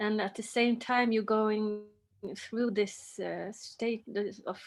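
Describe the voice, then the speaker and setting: A woman's fairly high-pitched voice in a Swedish accent. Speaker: actress. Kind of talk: interview. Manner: halting.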